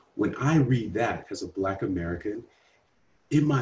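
Somewhat breathy, a man with medium pitch speaks with lively intonation. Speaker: podcast host. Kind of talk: scripted intro then casual interview.

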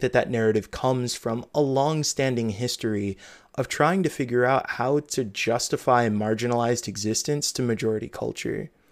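This man has a plain, everyday voice, a medium pitch and an American accent. He speaks at a moderate pace with fairly even intonation. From US Midwest. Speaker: podcast host and game journalist. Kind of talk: casual interview chat; reading aloud of own article.

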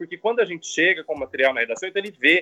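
A man speaks in a high voice. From São Paulo state, Brazil (São José do Rio Preto). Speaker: TV journalist and university professor. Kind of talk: interview.

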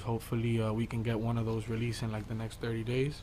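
In an American accent, the speaker goes at a fairly quick pace, somewhat breathy, with flat, monotone intonation. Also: man. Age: 20s. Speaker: music artist. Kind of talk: interview.

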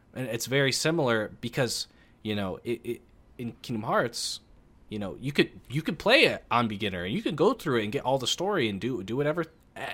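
Over a silent background on a very clean recording, a man with a Midwestern US accent and a medium pitch speaks fairly quickly, his pitch swinging very widely. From US Midwest. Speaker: podcast guest. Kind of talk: casual chat.

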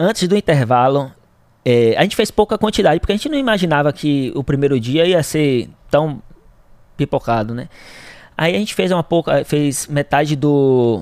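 Long, frequent pauses mark a man's lively intonation at a moderate pace, recorded with a dry, close sound with no echo. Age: 20s. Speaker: entrepreneur. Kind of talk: interview. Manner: halting.

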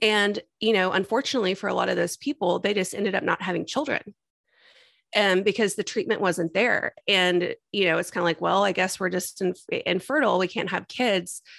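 A woman speaks in a plain, everyday voice with an American accent, at a medium pitch with ordinary pitch variation, a fairly quick pace and very even loudness, in a dry, close sound with no echo. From Texas. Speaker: IVF patient and mother sharing her story. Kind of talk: interview testimony.

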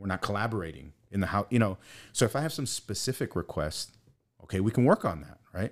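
On a very clean recording with a silent background, a man talks at a very fast pace. His voice is fairly low in pitch, with lively intonation. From Brooklyn, New York, US. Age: 40s. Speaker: psychology professor and therapist. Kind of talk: casual interview chat.

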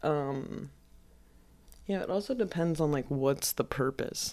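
A woman mumbles at a fairly slow pace in a very deep, low pitch. Her intonation is lively. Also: very clean recording, silent background. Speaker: podcast host. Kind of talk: casual chat. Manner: mumbly.

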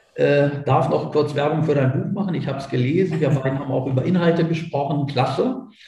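A man speaks at a moderate pace in a fairly high voice with ordinary pitch variation. Noticeable background noise and audible room echo are present. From Germany, Göttingen. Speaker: businessman. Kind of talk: interview.

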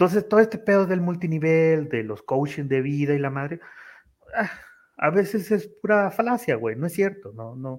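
Pitched high, a man swings very widely in pitch and shows big shifts in loudness. He keeps a moderate pace. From Tamaulipas, Mexico. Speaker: office worker and content creator. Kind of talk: casual chat. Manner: casual, slangy, frequent fillers.

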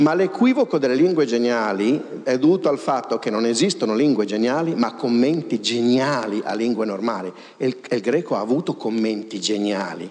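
Lively intonation marks a man's unremarkable speaking voice, pitched at a medium level and delivered at a moderate pace. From Pavia, northern Italy. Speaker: linguist and author. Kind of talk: lecture. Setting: stage with audience.

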